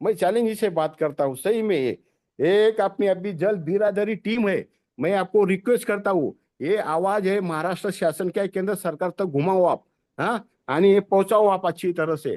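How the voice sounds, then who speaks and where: A man speaks at a high pitch with ordinary pitch variation, recorded dry and close with no echo against a quiet background. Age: 60s. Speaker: tree planter and farmer activist. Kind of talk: webinar talk. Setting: video call. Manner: halting, with frequent self-corrections.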